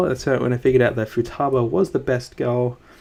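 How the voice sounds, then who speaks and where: Talking very fast, a man has a dark, mellow tone. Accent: Australian. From Australia. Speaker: streamer and artist. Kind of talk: casual live-stream chat. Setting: live stream on laptop. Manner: halting, many fillers and restarts.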